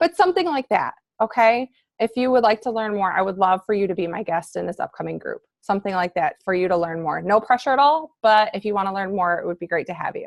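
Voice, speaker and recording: A woman at medium pitch talks very fast with lively intonation and an upbeat tone. The sound is dry and close, with no echo. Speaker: fitness coach team leader. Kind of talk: coaching team call. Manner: casual, upbeat; halting with fillers.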